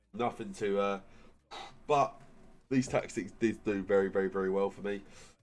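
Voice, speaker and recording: A man talks with an English accent at a fairly quick pace. His pitch variation is ordinary. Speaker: gaming YouTuber. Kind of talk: gaming tutorial. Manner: casual, filler-heavy.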